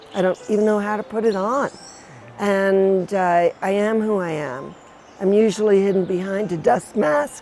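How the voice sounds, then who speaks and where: The woman talks at a medium pitch, her pitch varying in an ordinary way, with noticeable background noise behind her. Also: moderate pace. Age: 70s. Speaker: sculptor. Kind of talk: interview.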